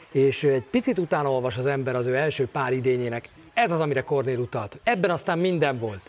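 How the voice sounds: Noticeable background noise runs through the clip. The pitch variation is ordinary. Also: man.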